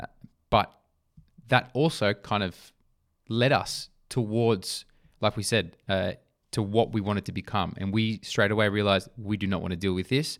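In a very clean recording with a silent background, a man with an Australian accent speaks at a moderate pace in a fairly low pitch, with fairly even intonation and long, frequent pauses. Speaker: podcast co-host, sporting brand founder. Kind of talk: casual chat.

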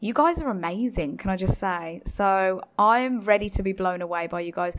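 It is a plain, everyday voice. The pitch moves with ordinary variation. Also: woman. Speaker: podcast co-host. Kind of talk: casual chat.

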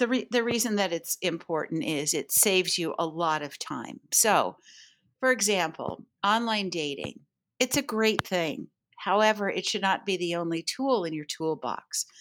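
Set in a very clean recording with a silent background, a normal speaking voice moves at a moderate pace with lively intonation. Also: woman, medium pitch for a woman. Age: 60s. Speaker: matchmaker and dating coach. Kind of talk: casual interview chat.

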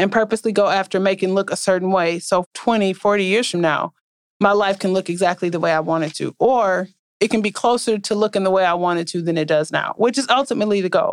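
A woman speaks at a fairly quick pace with a medium pitch and ordinary pitch variation, in a plain, everyday voice. The recording is very clean and dry, close with no echo, over a silent background. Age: 40s. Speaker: podcast host. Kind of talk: solo podcast monologue.

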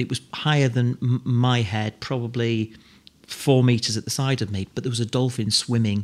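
A man talks in a plain, everyday voice. His pace is moderate and his intonation fairly even. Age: 50s. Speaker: operations director, former children's TV presenter. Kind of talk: casual interview.

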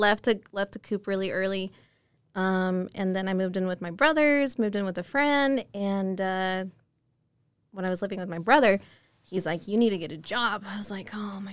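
In a very clean recording with a silent background, a woman uses an unremarkable speaking voice at a moderate pace, her medium pitch showing ordinary variation. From Utah, Murray. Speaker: loan officer. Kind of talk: casual chat.

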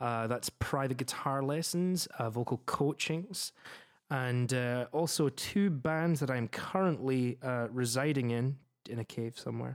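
Fairly slow speech with a Scottish accent, dry and close with no echo, on a very clean recording with a silent background. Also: man, medium pitch for a man, ordinary pitch variation. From Scotland. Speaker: opera singer and music teacher. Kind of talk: casual chat.

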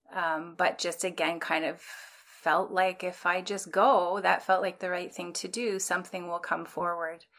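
Speaking fairly slowly with a Canadian accent, a woman keeps a flat, monotone delivery and hardly pauses. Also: fairly low pitch for a woman. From rural Ontario, Canada (Bruce County). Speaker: social worker and therapist. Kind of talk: interview.

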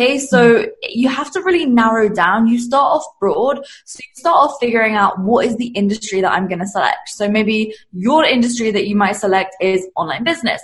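Speech with an English accent moves at a moderate pace with lively intonation and hardly any pauses. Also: woman, fairly high pitch for a woman. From England. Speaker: business coach. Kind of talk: casual interview chat.

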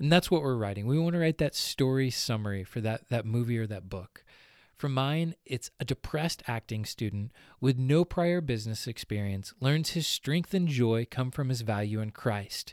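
A man talks in an ordinary speaking voice at medium pitch and a moderate pace, with lively intonation, on a very clean recording with a silent background and a dry, close sound with no echo. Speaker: podcast co-host and entrepreneur. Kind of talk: solo instructional podcast talk.

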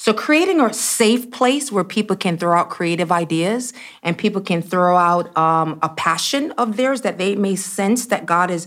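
An ordinary speaking voice from a woman at medium pitch, with moderate pace and ordinary pitch variation. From US Northeast (Brooklyn, New York). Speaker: church executive and speaker. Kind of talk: interview.

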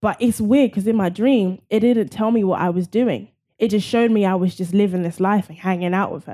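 A woman with a London accent, a dark, mellow tone, medium pitch, ordinary pitch variation and a fairly quick pace. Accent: British (London) English. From London, England. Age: 20s. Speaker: fitness and nutrition coach and actress. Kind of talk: casual interview chat.

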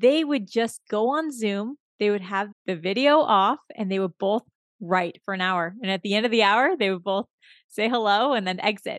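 An unremarkable speaking voice from a woman at medium pitch, with ordinary pitch variation and a moderate pace. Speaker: podcast host. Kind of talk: interview, conversational.

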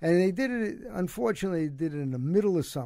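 A man with a Brooklyn accent speaks in a high voice for a man, with a dark, mellow tone. His intonation is lively. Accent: New York (Brooklyn). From Brooklyn, New York. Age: 70s. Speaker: former basketball coach, cancer survivor. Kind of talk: casual interview. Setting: studio.

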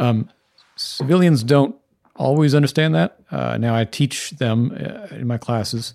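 Calm in tone, a man of medium pitch speaks at a fairly slow pace with lively intonation. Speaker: professor and former army intelligence officer. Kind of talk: panel discussion.

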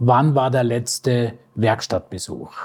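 His voice has a somewhat breathy quality. The man speaks at a very slow pace. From Bavaria, Ingolstadt. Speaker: lecturer and automotive data expert. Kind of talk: interview.

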